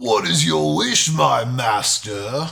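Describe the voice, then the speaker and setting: A raspy, put-on character voice from a man at medium pitch. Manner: servile, theatrical.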